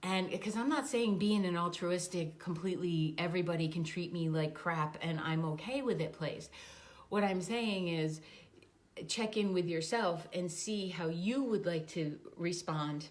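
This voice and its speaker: Audible room echo surrounds a woman speaking at a fairly slow pace. Her pitch is fairly low, with ordinary pitch variation. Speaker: life coach. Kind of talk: casual vlog talk. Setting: standing on a treadmill.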